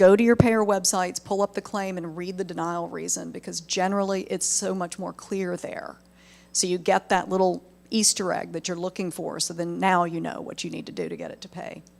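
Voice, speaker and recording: A woman with a Southern US accent at a fairly quick pace, with big swings in loudness. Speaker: medical billing trainer. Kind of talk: webinar presentation. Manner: conversational.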